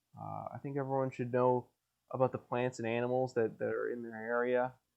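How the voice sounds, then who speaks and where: Monotone and flat in intonation, a man at medium pitch talks at a fairly quick pace. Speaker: solo podcaster. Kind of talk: casual monologue. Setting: home basement. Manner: rambling, hesitant with many fillers.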